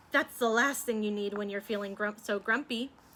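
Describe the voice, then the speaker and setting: Using a put-on character voice, a woman talks at a fairly quick pace in a medium pitch. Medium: read story. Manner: good-natured.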